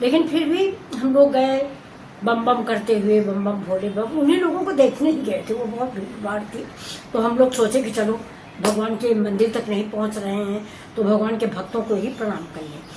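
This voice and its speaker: Amid noticeable background noise and audible room echo, a woman with a fairly high pitch speaks at a moderate pace with lively intonation. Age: 60s. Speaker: cooking and lifestyle vlogger. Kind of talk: casual talk to camera.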